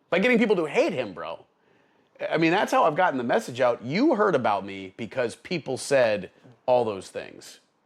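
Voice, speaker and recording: Using an American accent, a man with a fairly high pitch and vocal fry speaks at a moderate pace with very wide pitch swings. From Upstate New York (Albany area). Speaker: attorney and army veteran. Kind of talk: casual conversational interview. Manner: animated, profane.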